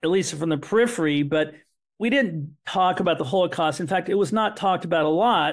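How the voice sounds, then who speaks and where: His pitch high, the man speaks with ordinary pitch variation. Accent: Midwestern American. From US Midwest, Terre Haute, Indiana. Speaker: son of Holocaust survivors, author. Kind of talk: podcast interview, personal storytelling. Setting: podcast.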